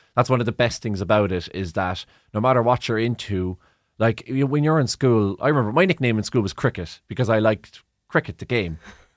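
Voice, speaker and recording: This man has a medium-pitched voice with a Cork accent and lively intonation, moving at a fairly quick pace. The recording is very clean and dry, close with no echo and a silent background. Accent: Cork Irish. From Ireland, Cork. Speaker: sports broadcaster. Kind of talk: interview. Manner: halting.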